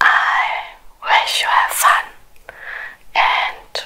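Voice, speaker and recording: The speaker whispers at a very slow pace, leaving long, frequent pauses. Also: woman. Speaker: ASMR creator. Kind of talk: ASMR eating video talk. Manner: whispered. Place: home room.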